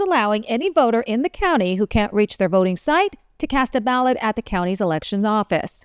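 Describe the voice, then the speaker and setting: Dry and close with no echo, the recording captures a woman with an unremarkable speaking voice talking at a fairly quick pace and fairly high pitch. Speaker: news anchor. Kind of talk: news anchor delivery, top stories roundup.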